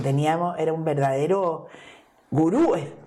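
A woman speaks with fairly even intonation. The recording has audible room echo and noticeable background noise. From Chile, Santiago. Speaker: politician and feminist activist. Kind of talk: interview.

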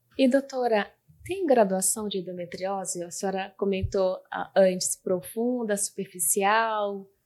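Using a normal speaking voice, a woman talks at a medium pitch, her intonation fairly even. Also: fairly slow pace. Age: 30s. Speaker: communications analyst and patient. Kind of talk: personal testimony. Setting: studio.

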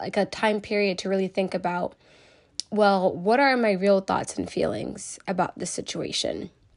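Against a quiet background, a woman talks at a moderate pace. Hers is an unremarkable speaking voice at a medium pitch. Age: 20s. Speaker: podcast host, social worker. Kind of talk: solo opinion podcast.

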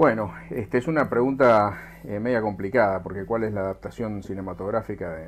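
A man with vocal fry and a fairly low pitch speaks at a moderate pace with ordinary pitch variation. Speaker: aerospace engineer. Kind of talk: interview. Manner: halting.

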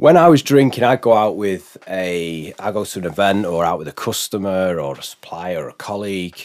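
An ordinary speaking voice from a man at a moderate pace, with fairly low pitch, ordinary pitch variation and big swings in loudness. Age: 40s. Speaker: business consultant. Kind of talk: casual chat. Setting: studio.

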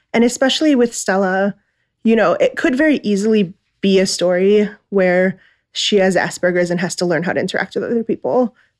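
A woman's normal speaking voice at medium pitch, with an American accent, lively intonation, and a dry, close sound with no echo. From US Midwest, Chicago area. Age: 20s. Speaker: children's book production editor. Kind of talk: casual book club chat.

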